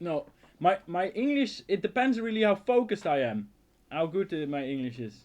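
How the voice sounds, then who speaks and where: A man with a high-pitched voice talks at a moderate pace, his pitch swinging very widely. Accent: Dutch. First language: Dutch. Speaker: outdoor survival youtuber. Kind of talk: casual live stream Q&A. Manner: halting, repeats words.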